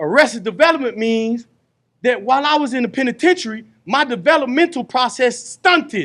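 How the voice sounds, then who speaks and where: A man speaks loudly at extremely high pitch and a fairly quick pace. His tone is animated, with lively intonation. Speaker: re-entry program facilitator, formerly incarcerated. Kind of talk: group workshop talk. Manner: animated, conversational.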